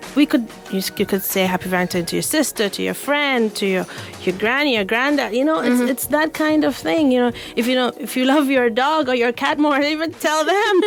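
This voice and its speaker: A woman speaks with a high pitch and lively intonation at a fairly quick pace. Music plays in the background. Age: young. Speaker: mental health counselor. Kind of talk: radio guest conversation.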